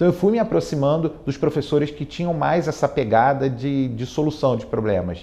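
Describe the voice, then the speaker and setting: With hardly any pauses, a man speaks at a moderate pace in a fairly high, dark, mellow voice with vocal fry and lively intonation. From Brazil, Rio de Janeiro. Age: 40s. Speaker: tech executive and alumnus. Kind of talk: interview testimony. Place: studio. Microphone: lapel.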